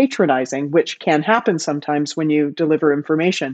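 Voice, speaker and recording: An ordinary speaking voice with a Canadian accent moves at a fairly quick pace with ordinary pitch variation. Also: woman. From Canada. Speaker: bar industry expert. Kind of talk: casual interview chat.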